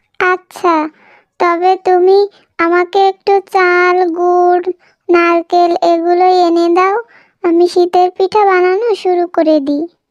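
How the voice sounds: In a cartoonish character voice, a woman speaks at an extremely high pitch, very slowly, with monotone, flat intonation.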